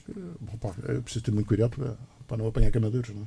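This man's voice has a dark, mellow tone. There is a somewhat breathy quality to it. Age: 50s. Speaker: sailor. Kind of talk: radio interview. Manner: halting.

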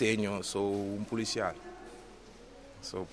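A man speaks very slowly in a bright, sharp tone. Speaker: theatre trainee and police officer. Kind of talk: interview.

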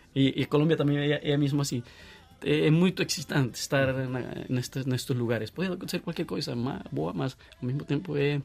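Talking at a fairly quick pace, a man with a Colombian accent uses a fairly high pitch and ordinary pitch variation. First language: Spanish (speaking Portuguese). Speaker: guest from Colombia. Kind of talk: casual chat. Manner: halting.

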